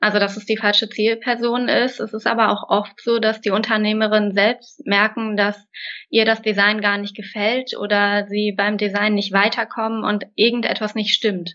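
A woman speaks at a moderate pace in a fairly high voice, her intonation flat and monotone. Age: 20s. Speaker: graphic designer. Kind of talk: interview. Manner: hesitant fillers.

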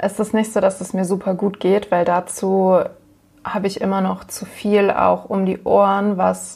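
In a flat monotone, a woman of medium pitch speaks at a fairly slow pace. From northern Germany, Hamburg. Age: 20s. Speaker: nurse living with MS. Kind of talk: interview, personal testimony.

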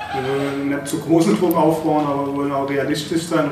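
The man's voice is fairly high, with fairly even intonation. Audible room echo and noticeable background noise are present. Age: 40s. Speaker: former footballer and club board member. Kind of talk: casual interview. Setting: stadium announcer booth used as studio. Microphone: poorer sound after one mic failed.

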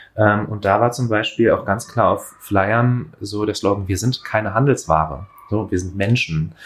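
Using ordinary pitch variation, a man speaks at a fairly slow pace in a fairly low, somewhat breathy voice. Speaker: podcast co-host. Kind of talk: conversational discussion. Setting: home kitchen with open window.

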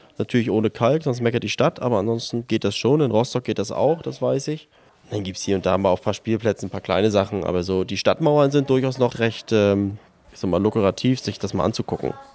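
A man's medium-pitched voice at a very fast pace. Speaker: climbing wall founder, church member. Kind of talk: interview. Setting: indoor bouldering loft with children climbing.

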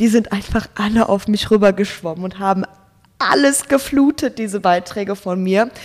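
There is noticeable background noise behind a woman's voice. She talks at a moderate pace in a medium pitch with ordinary pitch variation. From Germany, Ruhr area (Gelsenkirchen). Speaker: Instagram creator and student. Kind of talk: casual interview.

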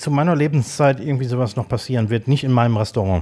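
This man has an ordinary speaking voice at medium pitch. He talks at a fairly quick pace with lively intonation. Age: 50s. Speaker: podcast co-host, chef/restaurateur. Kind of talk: casual chat. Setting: studio, sitting across from co-host.

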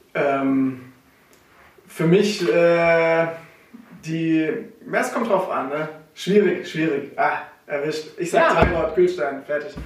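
With audible room echo and noticeable background noise, a man speaks in a high pitch at a very slow pace, leaving long, frequent pauses, with ordinary pitch variation. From Swabia, Germany (Herrenberg area). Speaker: coffee importer, company co-founder. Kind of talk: casual interview. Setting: office.

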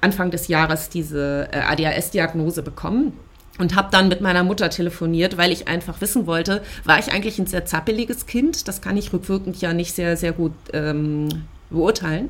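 This woman's fairly low pitch shows ordinary pitch variation as she talks at a moderate pace. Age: 30s. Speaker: podcast co-founder sharing ADHD experience. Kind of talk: personal testimony interview. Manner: frequent filler hesitations.

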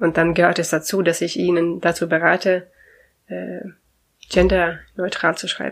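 A woman speaks at a moderate pace with a fairly low pitch, vocal fry and monotone, flat intonation. Long, frequent pauses break up her speech. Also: very clean recording, silent background. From Sweden. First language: Swedish (speaking German). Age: 40s. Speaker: language consultant. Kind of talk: interview. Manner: cheerful.

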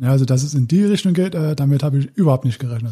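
This man has a fairly high pitch and a dark, mellow tone that is somewhat breathy. He speaks at a very fast pace with ordinary pitch variation. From Saxony, Dresden. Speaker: former stuntman and paramedic. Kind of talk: interview testimony. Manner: halting.

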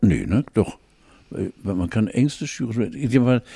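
Recorded very cleanly against a silent background, a man speaks in a dark, mellow voice of medium pitch with vocal fry. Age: 70s. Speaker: podcast co-host. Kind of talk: casual chat.

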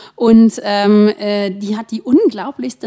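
Dark, mellow tone with ordinary pitch variation. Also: woman. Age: 40s. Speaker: author. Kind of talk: casual chat.

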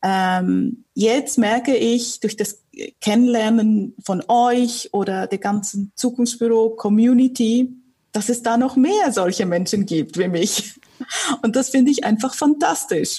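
Speaking at a very slow pace, a woman has a fairly high pitch, a dark, mellow tone and ordinary pitch variation. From Switzerland, Zurich area. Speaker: communications consultant and local community host. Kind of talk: casual interview conversation.

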